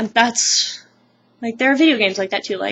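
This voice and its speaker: The voice belongs to a woman. Behind her there is noticeable background noise. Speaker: vlogger. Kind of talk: casual vlog monologue. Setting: at home, close to camera. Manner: loud. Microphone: webcam mic, sound very quiet; poor sound quality.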